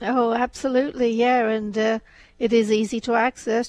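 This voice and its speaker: Here a woman is speaking. She keeps a moderate pace against a quiet background. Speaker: radio co-host. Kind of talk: casual chat. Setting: studio. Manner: soft-spoken.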